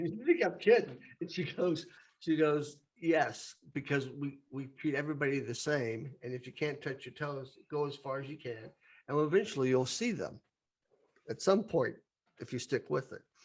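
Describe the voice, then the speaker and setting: A man speaks at a moderate pace with a fairly high, somewhat breathy voice. His pitch moves in an ordinary way while his loudness swings widely. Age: 60s. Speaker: podcast host. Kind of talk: casual chat.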